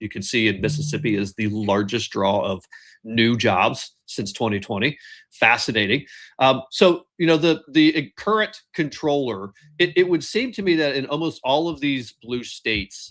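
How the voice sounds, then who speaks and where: Very wide pitch swings mark a voice with a Midwestern American accent on a very clean recording with a silent background. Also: man, medium pitch for a man, moderate pace. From Ohio, Columbus. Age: 50s. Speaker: podcast host. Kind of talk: interview.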